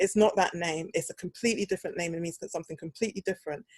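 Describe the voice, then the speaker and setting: Talking at a very fast pace with a slight British accent, a woman comes across dry and close with no echo. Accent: slight British twang. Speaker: podcast host, speech therapist. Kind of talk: casual chat. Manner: animated.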